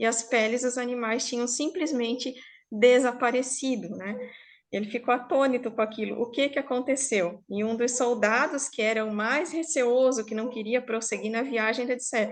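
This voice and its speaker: Against a quiet background, a woman talks at a high pitch with fairly even intonation. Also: moderate pace. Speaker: storyteller. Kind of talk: oral storytelling to a live online group. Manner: informal, conversational.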